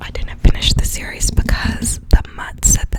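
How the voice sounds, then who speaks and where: A woman whispers. Noticeable background noise can be heard. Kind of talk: casual talk to camera, ASMR chat about movies. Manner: whispered.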